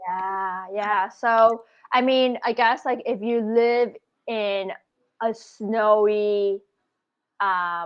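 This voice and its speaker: A woman with a Canadian accent speaks at a very slow pace. Long, frequent pauses break up her fairly even intonation. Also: fairly high pitch for a woman. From Canada, Scarborough, Toronto. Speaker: travel blogger. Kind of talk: casual chat.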